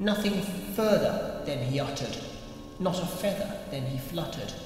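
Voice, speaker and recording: A man talks at a fairly slow pace in a high pitch, with noticeable background noise behind him. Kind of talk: poetry reading.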